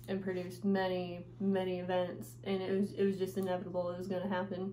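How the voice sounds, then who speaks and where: The speech moves at a fairly quick pace with fairly even intonation, and the room echo is audible. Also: woman. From Nevada. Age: 20s. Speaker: vlogger and rodeo rider. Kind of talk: casual vlog. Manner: hesitant, many fillers.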